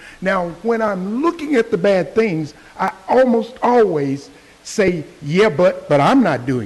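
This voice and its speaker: A man with an American accent speaks at a high pitch and a fairly slow pace. His pitch swings very widely over noticeable background noise. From Texas, Fort Worth. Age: 70s. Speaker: public commenter, Vietnam veteran. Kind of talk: public comment at county meeting.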